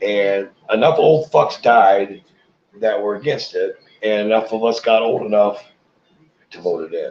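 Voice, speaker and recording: With music in the background, a man with an American accent talks at a fairly slow pace and medium pitch, using ordinary pitch variation, long, frequent pauses and big swings in loudness. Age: 60s. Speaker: cannabis livestreamer. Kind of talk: casual livestream chat.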